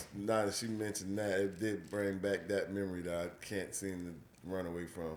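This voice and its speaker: With an American accent, a man speaks in a very deep, low pitch with hardly any pauses, and room echo is audible. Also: moderate pace. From US deep South. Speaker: podcast host. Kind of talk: casual chat. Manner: animated.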